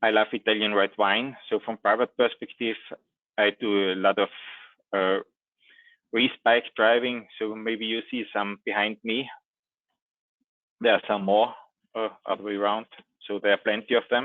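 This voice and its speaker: In a dry sound with no echo, a man speaks with fairly low pitch and monotone, flat intonation, leaving long, frequent pauses. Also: moderate pace, quiet background. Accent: Austrian. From Austria. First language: German. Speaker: IT trainer and consultant; IT trainer. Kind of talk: technical presentation. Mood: friendly, lightly humorous. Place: home room.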